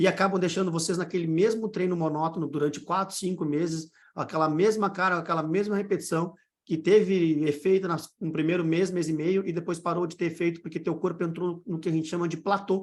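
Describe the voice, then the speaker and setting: His pitch is high. The man talks fairly quickly. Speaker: fitness coach and online course mentor. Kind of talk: live online mentoring session. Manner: fast; animated.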